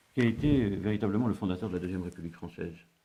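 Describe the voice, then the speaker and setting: The speaker is a man. His pitch varies an ordinary amount. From North Africa. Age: 70s. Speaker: retired civil servant and consultant. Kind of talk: interview. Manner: halting, many hesitations.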